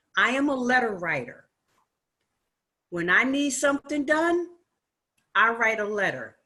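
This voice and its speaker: With a bright, sharp tone and lively intonation, a woman speaks at a fairly high pitch and a fairly slow pace. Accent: American. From Newark, New Jersey. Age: 60s. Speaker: audience member, activist. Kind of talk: audience comment.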